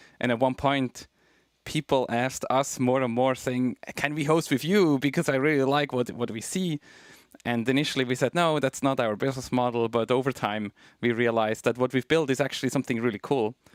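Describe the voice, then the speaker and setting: Fairly quick and fairly even in intonation, a man speaks at a medium pitch with a Swiss German accent, the sound dry and close with no echo. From Switzerland. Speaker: tech company co-founder. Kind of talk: interview.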